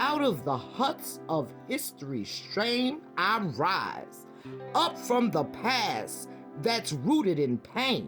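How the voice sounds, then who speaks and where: Over music in the background, a woman with an American accent speaks at a very slow pace with very even loudness. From Brooklyn, New York. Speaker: retired nurse. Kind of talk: poetry reading.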